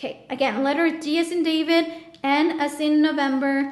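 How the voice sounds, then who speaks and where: Fairly even intonation from a woman in a space with audible room echo. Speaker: tarot reader. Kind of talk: tarot reading monologue. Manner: halting.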